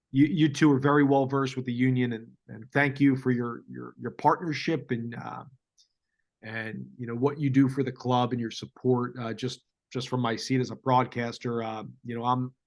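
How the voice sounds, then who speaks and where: At a moderate pace and medium pitch, a man speaks with monotone, flat intonation and big swings in loudness. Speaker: radio play-by-play broadcaster. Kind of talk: casual interview chat. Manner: halting, many fillers and repeats.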